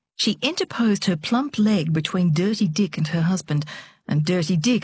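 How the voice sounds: The clip has a natural reading voice. It is read aloud.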